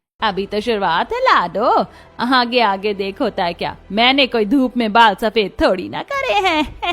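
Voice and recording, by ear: A woman puts on a character voice with a fairly bright tone, big pitch swings and a fairly slow pace. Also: fairly high pitch for a woman.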